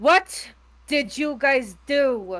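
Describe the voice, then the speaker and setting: A female-sounding voice puts on a character voice at a high pitch. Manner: angry, scolding.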